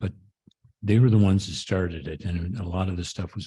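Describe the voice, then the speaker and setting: With a very deep, low pitch, a man speaks in a dark, mellow tone that is somewhat breathy, his intonation fairly even. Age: 70s. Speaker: care partner. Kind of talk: panel discussion. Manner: halting.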